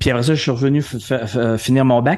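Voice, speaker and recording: A normal speaking voice from a man, pitched mid-range, with a fairly quick delivery and ordinary rises and falls in pitch. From Quebec City, Quebec. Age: 50s. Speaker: entrepreneur and speaker. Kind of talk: podcast interview.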